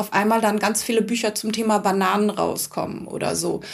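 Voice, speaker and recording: Amid noticeable background noise, a woman speaks at a moderate pace in a fairly high, monotone, flat voice. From Hamburg. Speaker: author and former actress. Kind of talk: casual chat.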